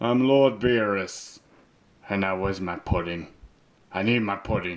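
Here a man does a put-on character voice. It comes at a fairly slow pace and a fairly low pitch. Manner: petulant, demanding.

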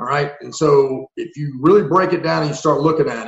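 This man's voice sits at a fairly high pitch and sounds somewhat breathy. He talks at a very fast pace. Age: 40s. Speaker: former Marine and police officer, tactical trainer. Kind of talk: casual interview chat. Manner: animated.

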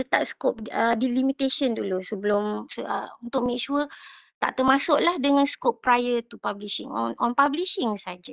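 The woman's high voice comes through dry and close, with no echo. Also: ordinary pitch variation, moderate pace. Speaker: participant with industry research experience. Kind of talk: meeting discussion. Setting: video call.

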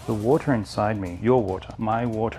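Faint music plays in the background as a man with an Australian accent and a fairly low pitch speaks at a moderate pace. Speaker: martial arts instructor. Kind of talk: martial arts instruction. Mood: calm, reflective. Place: home room.

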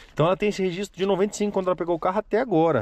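This man's voice comes across as dry sound with no echo. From Brazil, Paraná (Apucarana); Paraná, Brazil. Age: 30s. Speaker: classic car YouTuber. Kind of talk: casual vlog presentation. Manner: animated. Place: car. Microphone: phone near.

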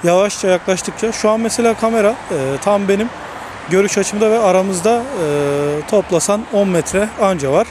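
A high-pitched man at a moderate pace, fairly even intonation and very even loudness, with noticeable background noise. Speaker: tech reviewer and photographer. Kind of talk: product review tutorial. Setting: outdoors by a six-lane road.

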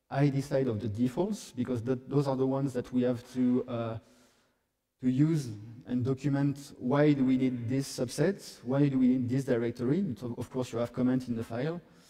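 In a French accent, a man with a medium pitch and a dark, mellow tone speaks at a moderate pace with fairly even intonation over a quiet background. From France. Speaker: software developer; conference presenter. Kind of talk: conference talk; technical conference talk. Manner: halting. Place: hall.

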